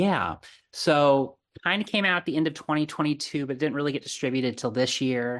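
A man with an American accent speaks in a plain, everyday voice at a moderate pace, fairly high in pitch with ordinary pitch variation, over a quiet background. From Arizona, US. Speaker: horror podcast host. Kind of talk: casual chat.

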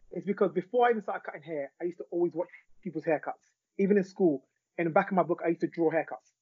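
A man with a London accent and high pitch talks at a very fast pace with ordinary pitch variation. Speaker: celebrity barber and author. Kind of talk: interview conversation.

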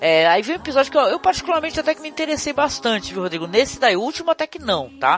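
With music in the background, the animated speaker races along at a very fast pace with hardly any pauses. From Brazil. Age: 50s. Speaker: podcast host. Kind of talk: casual chat.

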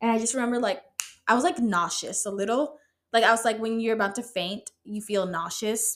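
Fairly high in pitch, a woman speaks in an animated tone. Her pace is fairly quick. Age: 20s. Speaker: solo podcast host. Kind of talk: casual monologue.

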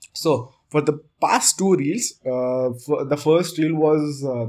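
Speaking very slowly, a man shows ordinary pitch variation. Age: 20s. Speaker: podcaster. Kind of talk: casual solo podcast, personal monologue.

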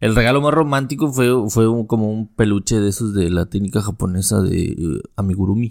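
A man with a Mexican accent, fairly low in pitch, at a fairly quick pace with ordinary pitch variation. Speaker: podcast host. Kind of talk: casual chat.

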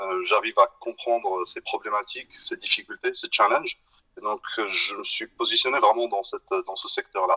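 The recording is dry and close, with no echo. A man speaks at a moderate pace. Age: 40s. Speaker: entrepreneur. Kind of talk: casual interview.

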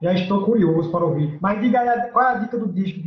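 A man is speaking. His pace is very fast. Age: 30s. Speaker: podcast host. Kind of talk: casual chat.

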